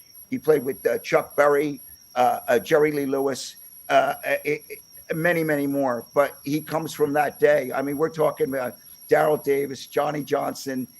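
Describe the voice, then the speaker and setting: A man with an American accent speaks at a moderate pace, his fairly high voice keeping a fairly even intonation. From Pennsylvania, US. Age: 60s. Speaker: podcast host, musician. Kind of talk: interview. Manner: halting, many fillers and repeats.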